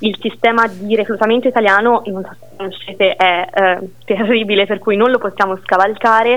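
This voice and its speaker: A woman speaks at a fairly high pitch. She leaves hardly any pauses. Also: fairly quick pace. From Siena, Tuscany, Italy. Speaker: teacher. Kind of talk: interview. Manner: animated.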